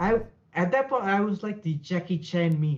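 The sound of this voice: A man with a high voice speaks at a moderate pace, his intonation lively.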